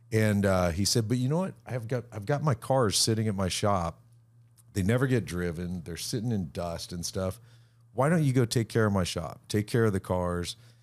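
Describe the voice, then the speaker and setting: On a very clean recording with a silent background, a man talks at a moderate pace in a plain, everyday voice. He has an American accent, a fairly low pitch, and lively intonation. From US West Coast, rural Orange County, California. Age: 50s. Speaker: car storage facility owner, former touring musician. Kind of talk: casual chat.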